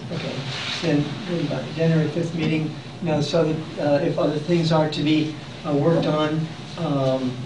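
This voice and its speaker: Over noticeable background noise and audible room echo, a man speaks at a moderate pace in a fairly high pitch with monotone, flat intonation. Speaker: public commenter at meeting. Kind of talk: public comment at meeting. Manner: halting.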